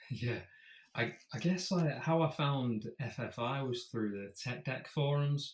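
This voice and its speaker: A man's somewhat breathy, fairly high voice with a British accent, ordinary pitch variation and a fairly slow pace. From UK. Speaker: fingerboarder. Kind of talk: casual interview chat.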